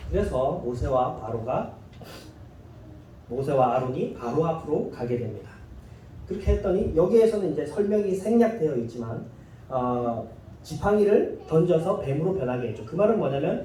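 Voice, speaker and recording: A man with a fairly high pitch and very wide pitch swings, at a moderate pace, with audible room echo and noticeable background noise. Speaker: pastor. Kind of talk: sermon.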